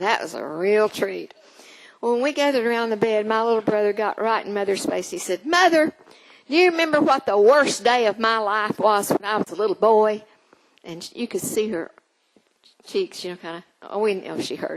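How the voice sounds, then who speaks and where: A woman with an American accent speaks in an unremarkable speaking voice, fairly high in pitch, with lively intonation and big swings in loudness. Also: moderate pace. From Oklahoma. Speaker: storyteller. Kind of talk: storytelling performance. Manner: warm.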